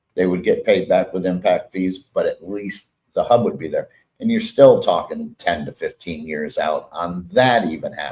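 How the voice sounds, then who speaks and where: Talking at a moderate pace with hardly any pauses, a man speaks with an American accent. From Florida, Englewood. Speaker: city mayor. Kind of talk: casual interview chat. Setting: live stream from a restaurant.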